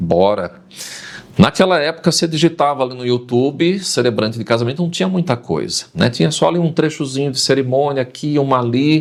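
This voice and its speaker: A man talks at a moderate pace in a medium pitch. His is a plain, everyday voice with lively intonation. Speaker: announcer and wedding celebrant. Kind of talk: podcast interview answer. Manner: lively, storytelling.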